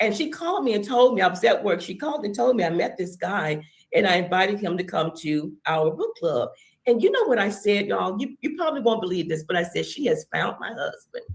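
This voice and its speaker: Somewhat breathy, a woman speaks at a medium pitch and a fairly quick pace, her voice making very wide pitch swings. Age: 60s. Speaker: church member sharing testimony. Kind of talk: testimony.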